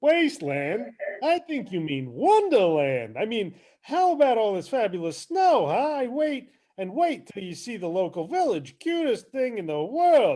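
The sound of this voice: A man's put-on character voice, high-pitched with big pitch swings, a dark, mellow tone and a fairly slow pace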